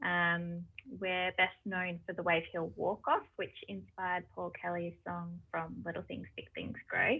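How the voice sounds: The voice has vocal fry and a slightly husky edge. It moves at a fairly slow pace with little pitch movement. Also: woman, fairly low pitch for a woman.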